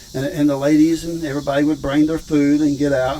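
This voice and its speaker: The delivery is very fast and flat, in a monotone. Noticeable background noise runs underneath. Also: man. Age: 70s. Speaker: rancher and video host. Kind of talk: casual vlog tour. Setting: outdoors.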